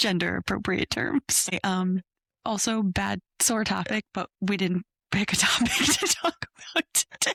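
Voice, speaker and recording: A woman whispers at a fairly slow pace. Her loudness stays very even throughout. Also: dry, close sound with no echo. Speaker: podcast co-host, new mom. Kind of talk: casual chat. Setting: home, kneeling around a shared microphone. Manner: whispering. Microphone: broken mics, sharing one microphone.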